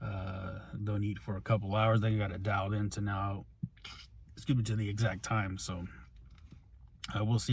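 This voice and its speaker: A man speaks in a flat monotone at a fairly low pitch, his somewhat breathy voice moving at a fairly quick pace with long, frequent pauses and audible room echo. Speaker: pro wrestler and wrestling coach. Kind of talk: casual vlog. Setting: at the gym and a store. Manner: halting, many fillers.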